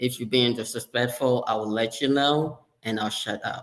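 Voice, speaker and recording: Here a man with a slight Ghanaian accent speaks at medium pitch and a moderate pace, with fairly even intonation. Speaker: sterile processing leader, former surgical tech. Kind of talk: interview conversation.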